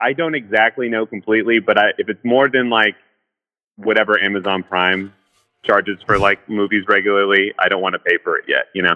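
A man speaks at a fairly quick pace with a fairly low pitch. He has an ordinary speaking voice and fairly even intonation. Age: 30s. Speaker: caller. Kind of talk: casual chat.

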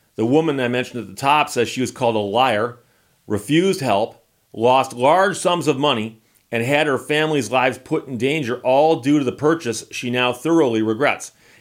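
With an American accent, a man speaks fairly quickly in a normal speaking voice at medium pitch, with ordinary pitch variation. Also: very clean recording, silent background. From United States. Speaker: video host on cars and RVs. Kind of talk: casual chat. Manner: casual, conversational.

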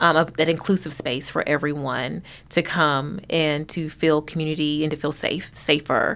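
At a fairly slow pace, a woman speaks in a warm tone with a very deep, low pitch and monotone, flat intonation. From Kentucky, Hopkinsville. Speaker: literacy nonprofit executive director. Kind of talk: casual interview. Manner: warm, laughs often.

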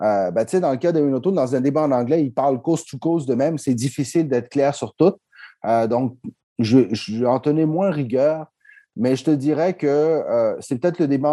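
Against a quiet background, a man speaks at a fairly quick pace with a dark, mellow tone. His pitch is fairly high, with ordinary pitch variation. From Quebec, Montreal-Nord (Chilean family). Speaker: public relations consultant. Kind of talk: casual interview.

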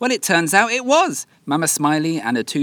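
Delivered in a British accent at a fairly quick pace, the speech shows very wide pitch swings. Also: man. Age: 20s. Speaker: travel podcaster. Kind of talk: scripted narration. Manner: animated.

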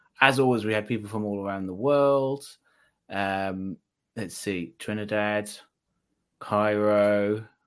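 Pausing long and often, a man talks with a fairly low pitch and fairly even intonation. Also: very clean recording, silent background. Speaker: news commentator, co-host. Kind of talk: roundtable discussion. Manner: halting.

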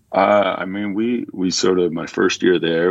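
A man with a Canadian accent speaks in a very deep, low pitch at a fairly slow pace, his intonation fairly even. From Canada, Ontario. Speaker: professional basketball player. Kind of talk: interview.

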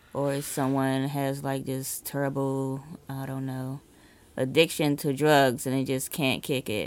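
Captured on a very clean recording with a silent background, a woman speaks with a very deep, low pitch. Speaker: podcast co-host. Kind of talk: casual chat.

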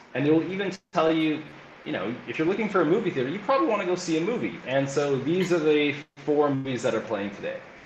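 Amid noticeable background noise and audible room echo, a man races along at a very fast pace, his fairly high voice carrying lively intonation. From Canada, Alberta (Calgary). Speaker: learning and innovation coach. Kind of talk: interview.

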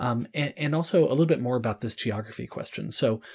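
A man's voice is somewhat breathy. He speaks fairly quickly, with lively intonation. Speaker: podcast host. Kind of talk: interview.

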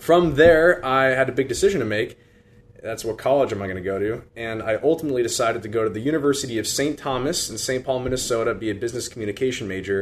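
A man with a Midwestern US accent speaks at a very fast pace. His pitch is medium, with ordinary variation. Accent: US Midwest. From Iowa, Des Moines. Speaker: deacon and seminarian. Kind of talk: radio interview. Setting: studio.

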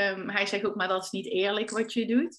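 Here is a woman at medium pitch. Her intonation stays fairly even. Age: 30s. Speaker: stylist and entrepreneur. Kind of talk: casual interview.

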